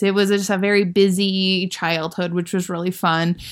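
A woman speaks at a medium pitch. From US Midwest, Iowa. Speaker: aerospace engineer. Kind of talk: interview. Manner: hesitant, many fillers.

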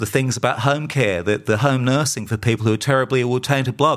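In an Australian accent, a man talks at medium pitch with ordinary pitch variation. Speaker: podcast host and campaigner. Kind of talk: solo podcast monologue. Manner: halting.

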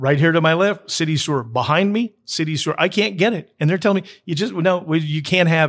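With an unremarkable speaking voice, a man talks at a fairly quick pace with hardly any pauses, fairly high pitch and ordinary pitch variation, on a very clean recording with a silent background. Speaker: interviewer. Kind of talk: casual interview.

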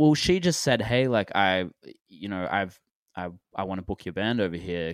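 With an Australian accent, a man speaks at a moderate pace in a fairly low pitch with ordinary pitch variation. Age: 20s. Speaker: indie rock musician. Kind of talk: casual interview chat.

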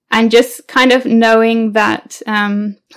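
In an East Midlands accent, a woman speaks at a fairly high pitch with monotone, flat intonation. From England, Leicestershire. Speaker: English teacher. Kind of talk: interview.

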